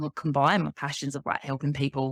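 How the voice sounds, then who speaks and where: A woman with an English accent is captured on a very clean recording with a silent background and a dry, close sound with no echo. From Kent, south-east England. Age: 30s. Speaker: life coach and author. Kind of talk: podcast interview.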